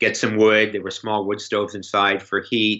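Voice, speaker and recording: The speaker is a man. He has a Canadian accent. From Canada, Toronto. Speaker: writer and editor. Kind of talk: podcast interview. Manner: halting, many repeated words.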